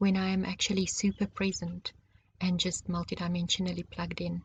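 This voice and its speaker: A woman's calm, gentle, somewhat breathy voice at medium pitch, monotone and flat. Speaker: spiritual teacher. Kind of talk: personal monologue. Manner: slow.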